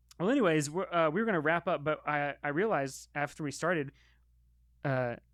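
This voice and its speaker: A man with an ordinary speaking voice and an American accent talks at a fairly quick pace and a fairly high pitch with ordinary pitch variation. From US. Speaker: podcast host. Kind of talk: casual chat.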